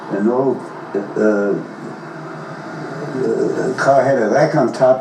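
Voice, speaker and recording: A man talks at a very slow pace, his pitch medium with ordinary variation. Audible room echo and noticeable background noise fill the recording. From Germany. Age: 80s+. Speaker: grandfather recounting life history. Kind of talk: oral history interview. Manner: halting, frequent false starts and fillers.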